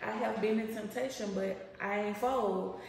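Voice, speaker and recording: A woman talks with fairly even intonation over light background noise, and audible room echo surrounds her voice. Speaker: lifestyle vlogger. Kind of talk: casual vlog chat. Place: kitchen. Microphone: camera far.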